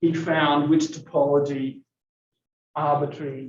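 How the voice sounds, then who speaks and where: Here a man speaks at a fairly slow pace. His voice is somewhat breathy. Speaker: math lecturer. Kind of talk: lecture. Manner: halting.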